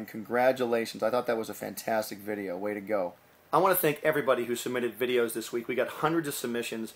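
A man at a medium pitch, talking at a very fast pace. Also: ordinary pitch variation. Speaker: animator, show host. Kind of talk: casual talk to camera, show hosting. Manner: upbeat, enthusiastic. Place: home room. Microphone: webcam.

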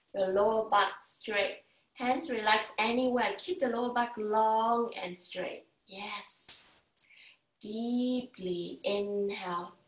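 Audible room echo surrounds a very slow delivery with ordinary pitch variation. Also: woman. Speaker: yoga instructor. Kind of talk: guided yoga class with breathing cues. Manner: calm, soothing, instructional; encouraging, paced with counted breaths. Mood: calm, soothing. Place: home room. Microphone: camera far.

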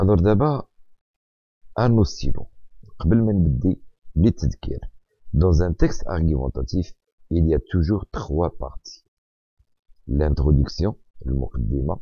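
A man with a very deep, low pitch and a dark, mellow tone speaks at a moderate pace in a somewhat breathy voice, with lively intonation and long, frequent pauses, in a dry, close recording with no echo. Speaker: French teacher. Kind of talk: lecture.

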